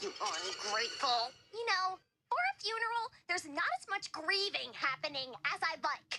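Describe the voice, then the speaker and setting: In a cartoonish character voice that sounds female, the speaker goes at a moderate pace with an extremely high pitch. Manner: theatrical, melodramatic.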